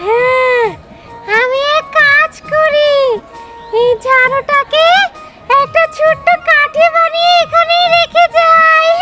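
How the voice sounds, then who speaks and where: Over clear music in the background, a squeaky put-on character voice at an extremely high pitch moves at a very slow pace with very wide pitch swings. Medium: short film. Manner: muttering to herself.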